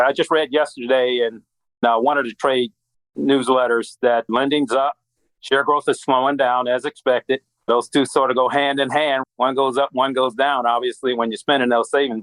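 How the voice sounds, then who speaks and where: This man has an American accent and a medium pitch. He speaks at a moderate pace with monotone, flat intonation. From US Midwest. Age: 60s. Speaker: credit union strategist at a bank. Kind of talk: podcast interview.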